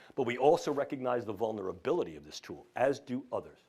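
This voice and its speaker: On a very clean recording with a silent background, a man with a New York accent talks at a fairly quick pace. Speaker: neuroscience professor. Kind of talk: lecture. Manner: formal.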